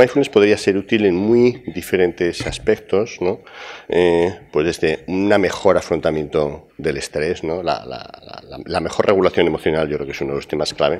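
Very deep, low male voice at a moderate pace. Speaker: university professor presenting a program; conference speaker. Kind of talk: conference talk. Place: hall.

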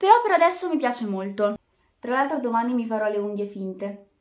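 Fairly brisk speech from a woman, with little sound behind her. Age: just turned 18 (high school final year). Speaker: beauty vlogger. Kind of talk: makeup tutorial vlog. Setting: at home in bedroom. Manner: casual, chatty. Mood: relaxed, cheerful. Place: home room. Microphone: webcam.

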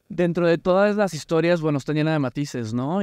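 With a quiet background and a dry sound with no echo, a man speaks with ordinary pitch variation. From Mexico. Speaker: podcast host. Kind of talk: casual chat. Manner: animated. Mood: warm, curious. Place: studio. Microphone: studio mic.

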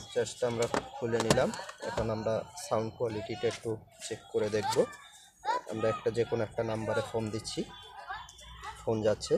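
Clear music plays in the background as a man talks. The sound is dry, with no echo. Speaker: seller demonstrating a product. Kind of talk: product demo tutorial. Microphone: phone near.

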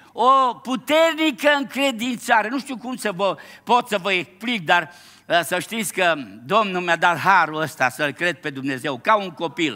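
A man's raised, projected voice, bright and sharp in tone, at a fairly slow pace with very wide pitch swings and a quiet background. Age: 70s. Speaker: pastor. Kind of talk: sermon. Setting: church. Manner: animated. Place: church.

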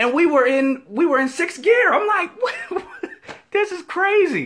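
This is a man's voice. His tone is bright and sharp. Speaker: faith vlogger. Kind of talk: casual vlog chat, inspirational talk. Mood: humorous, upbeat. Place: office. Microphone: headset.

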